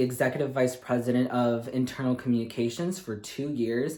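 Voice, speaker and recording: Over noticeable background noise, a man with a Midwestern US accent speaks in an upbeat tone. His pitch is medium and his pace fairly quick. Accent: General American (Midwestern). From Michigan, USA. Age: 20s. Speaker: speech language pathology graduate student. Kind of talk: reality show audition tape to camera.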